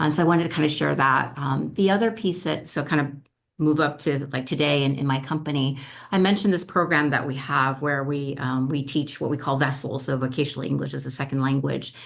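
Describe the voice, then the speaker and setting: A woman with a very deep, low voice and vocal fry speaks at a fairly quick pace with ordinary pitch variation, with audible room echo. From Africa (French-speaking). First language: French. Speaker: school board candidate. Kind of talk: candidate forum answer.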